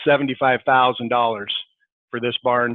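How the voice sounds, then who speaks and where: A man at a fairly quick pace. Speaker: swine company representative. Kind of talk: panel presentation. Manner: fast.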